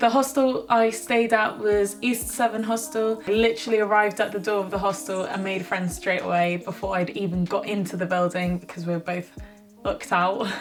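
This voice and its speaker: Over noticeable background noise, a woman with a British accent talks fairly quickly at medium pitch with ordinary pitch variation. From Britain. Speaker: travel vlogger. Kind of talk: casual vlog narration. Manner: chatty, with fillers and self-corrections.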